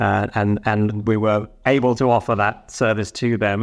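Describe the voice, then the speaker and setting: Here a man talks at a medium pitch. His pitch moves in an ordinary way. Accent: British. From United Kingdom. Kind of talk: interview.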